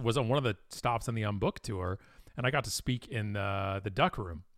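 A plain, everyday voice: a man with a Canadian accent, fairly low pitch and ordinary pitch variation. He talks at a fairly quick pace on a very clean recording with a silent background. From Ontario, Canada (Toronto suburbs). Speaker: marketing company president, speaker. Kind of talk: interview conversation.

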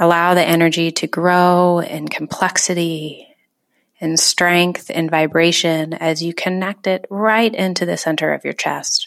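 A woman with a normal speaking voice talks at a fairly slow pace, fairly low in pitch with fairly even intonation, on a very clean recording with a silent background. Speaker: meditation guide. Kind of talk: guided meditation. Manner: slow, soothing, calm; gentle, soft-spoken with long pauses.

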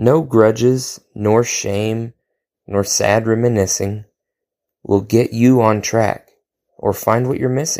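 In a very clean recording with a silent background, a man with an American accent speaks at a very slow pace and a medium pitch, using a dark, mellow tone, fairly even intonation and long, frequent pauses. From Oklahoma. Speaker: poet. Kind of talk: reading aloud.

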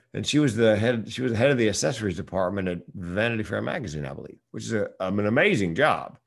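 An American man talks very fast with hardly any pauses, using lively intonation and vocal fry at a fairly low pitch. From US South. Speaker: comedian and speaker. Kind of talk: casual interview.

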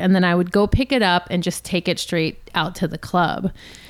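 In a Californian accent, a woman at medium pitch speaks at a moderate pace with fairly even intonation, on a very clean recording with a silent background. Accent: Californian American. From Los Angeles. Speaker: DJ and music producer. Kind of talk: casual interview chat.

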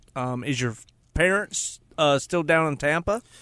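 A man talks in an ordinary speaking voice at a fairly high pitch. His pace is moderate. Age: 40s. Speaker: radio host. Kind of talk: casual chat. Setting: studio. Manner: joking.

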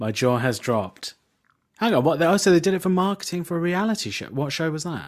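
On a very clean recording with a silent background, a man speaks at a very fast pace. He has a high pitch and a British accent. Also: lively intonation. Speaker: comedian. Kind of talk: casual chat.

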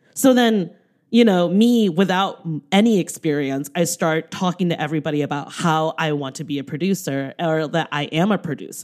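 A woman's animated voice, fairly low in pitch with ordinary pitch variation, at a moderate pace. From US, Taiwanese American. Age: 30s. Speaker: filmmaker and podcaster. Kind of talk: casual chat.

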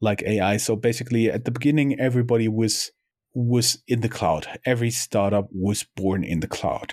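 The man's medium-pitched voice moves at a moderate pace with very even loudness, the sound dry and close with no echo. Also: ordinary pitch variation. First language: German. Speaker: podcast co-host, entrepreneur. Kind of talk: casual chat.

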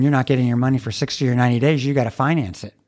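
A man with an American accent talks at a very fast pace, medium in pitch and with fairly even intonation. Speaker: co-host, college dean. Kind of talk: casual interview.

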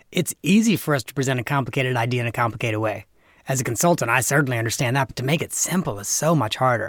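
A man's very fast, somewhat breathy speech with big swings in loudness. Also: medium pitch for a man, ordinary pitch variation, very clean recording, silent background. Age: 40s. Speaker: nonprofit consultant and podcast host. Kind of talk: casual interview.

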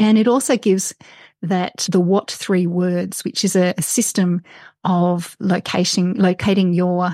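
Heard dry and close with no echo, a woman speaks at a medium pitch in an Australian accent. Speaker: outdoor writer and mountain rescue volunteer. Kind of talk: interview.

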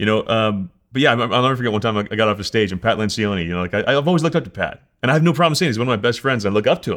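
With a New Jersey accent, a man speaks at a very fast pace in a medium pitch with lively intonation, in a very clean recording with a silent background. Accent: New Jersey American. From US Northeast, New Jersey. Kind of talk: casual interview. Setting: cabin by a lake, livestreamed. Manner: fast talker.

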